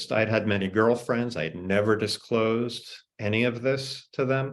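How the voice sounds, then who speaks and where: A man has an unremarkable speaking voice at a medium pitch, with an American accent. He talks at a fairly slow pace with fairly even intonation. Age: 60s. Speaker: author. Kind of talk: panel discussion. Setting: video call.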